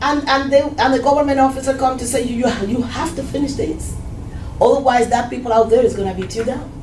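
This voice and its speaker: A woman's high voice at a very fast pace with fairly even intonation, amid noticeable background noise and audible room echo. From Cuba. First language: Spanish. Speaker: Cuban immigrant churchgoer. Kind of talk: testimony.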